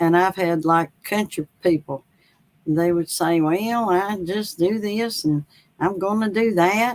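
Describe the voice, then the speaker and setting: A woman with a North Carolina accent speaks at a very slow pace. Her fairly low pitch shows ordinary variation. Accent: Southern, North Carolina accent somewhat. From US South, North Carolina. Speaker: author. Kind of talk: interview. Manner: halting, many fillers; slow, unhurried.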